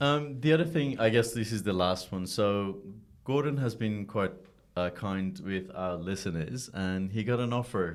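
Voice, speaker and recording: A man's lively intonation amid audible room echo. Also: fairly low pitch for a man, moderate pace. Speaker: podcast host. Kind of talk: casual interview.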